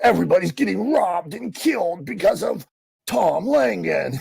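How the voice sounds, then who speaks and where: In a put-on character voice, the speaker delivers a dramatic tone at a moderate pace. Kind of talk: scary. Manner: ominous, dramatic.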